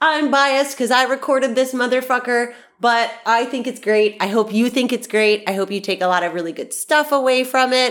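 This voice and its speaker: A woman speaks high in an animated, upbeat tone. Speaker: podcast host. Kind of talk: casual solo podcast episode. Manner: animated, upbeat, chatty.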